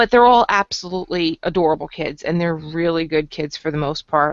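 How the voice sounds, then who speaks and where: Her voice is fairly low for a woman, an unremarkable speaking voice. She moves at a fairly quick pace with lively intonation. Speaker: podcast co-host. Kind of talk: casual chat.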